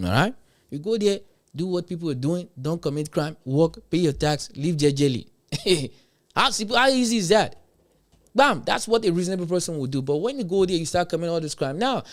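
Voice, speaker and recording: An animated, high-pitched man with a Nigerian accent, lively intonation and a fairly quick pace, in a very clean recording with a silent background. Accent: Nigerian (Yoruba) English. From Nigeria, Yoruba. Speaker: livestream commentator. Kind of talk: livestream reaction commentary.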